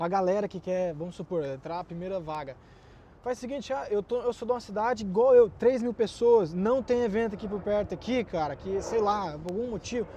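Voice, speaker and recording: With a dark, mellow tone and a high pitch, a man talks at a fairly quick pace using ordinary pitch variation. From Mato Grosso, Brazil. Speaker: iOS developer. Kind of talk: casual chat.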